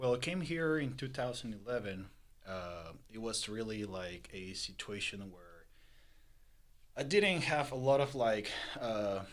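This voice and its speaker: A man with a Spanish accent, medium pitch, lively intonation and big swings in loudness, plus audible room echo. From Peru. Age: 20s. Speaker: entrepreneur. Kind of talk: interview. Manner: halting, many fillers.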